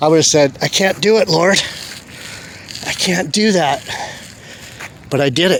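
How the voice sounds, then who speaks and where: Over noticeable background noise, a high-pitched man speaks at a moderate pace with very even loudness and long, frequent pauses. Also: ordinary pitch variation. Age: 60s. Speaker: religious video blogger. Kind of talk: casual monologue vlog. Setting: outdoors on a beach. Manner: halting.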